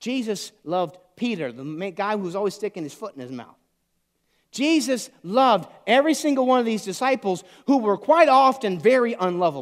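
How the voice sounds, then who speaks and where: A man's high voice with very wide pitch swings, an animated tone and a moderate pace, on a very clean recording with a silent background. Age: 40s. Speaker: pastor. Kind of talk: sermon.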